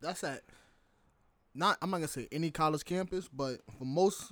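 In a normal speaking voice, a man talks at a fairly quick pace and a fairly high pitch with ordinary pitch variation, on a very clean recording with a silent background. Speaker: football coach and semi-pro player. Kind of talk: casual chat.

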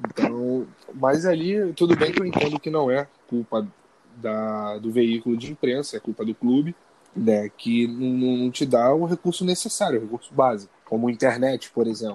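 An ordinary speaking voice from a man, medium in pitch with lively intonation and a moderate pace, in a dry, close sound with no echo. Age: 20s. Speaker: journalism student and sports reporter. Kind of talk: interview.

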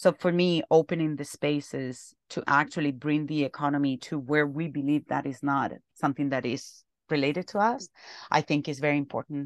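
A woman with a Spanish accent and a very deep, low pitch speaks with fairly even intonation in a dry, close sound with no echo and a quiet background. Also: moderate pace. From Spain, Alcalá de Henares near Madrid. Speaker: sustainability network organizer. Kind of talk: podcast interview.

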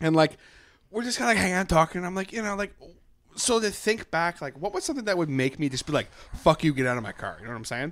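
Talking at a very fast pace, a man with a high pitch makes very wide pitch swings. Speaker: podcast host. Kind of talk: casual chat.

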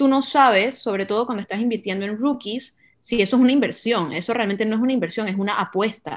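Against a quiet background, a woman speaks very fast with hardly any pauses, at a fairly high pitch with ordinary pitch variation. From Panama. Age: 20s. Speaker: marketing business owner, football fan and card collector. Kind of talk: casual podcast conversation.

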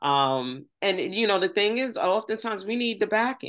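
In an American accent, a woman with an ordinary speaking voice talks at a moderate pace with lively intonation. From New York City and West Virginia. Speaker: podcast host and cannabis infusionist. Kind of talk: casual interview chat.

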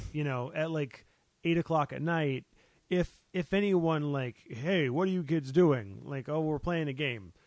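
This man has an ordinary speaking voice. He talks at a fairly slow pace with ordinary pitch variation. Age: 30s. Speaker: podcast co-host. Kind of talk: casual chat.

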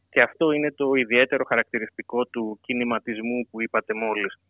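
This man has an ordinary speaking voice, moving at a moderate pace with fairly even intonation. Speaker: political science PhD candidate. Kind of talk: radio interview.

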